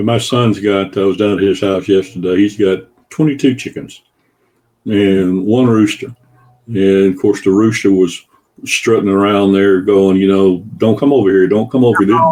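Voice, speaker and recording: Here a man speaks with a Southern US accent in a dark, mellow tone and fairly low pitch. His pace is moderate and his intonation fairly even. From US South. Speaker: guest, former consultant. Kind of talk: casual chat.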